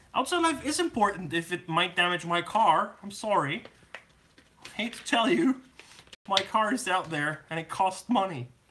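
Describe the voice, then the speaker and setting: Noticeable background noise accompanies talking delivered at a moderate speed. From Germany. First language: German. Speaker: scale model builder. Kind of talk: live build-along stream chat. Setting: live stream with camera. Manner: casual, joking.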